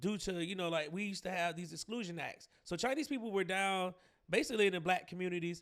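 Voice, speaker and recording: Speaking at a very fast pace, a man with a Southern US accent uses a high pitch with ordinary pitch variation. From Georgia, US South. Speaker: podcast host, commentator. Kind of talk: commentary monologue. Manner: casual, many fillers and repetitions.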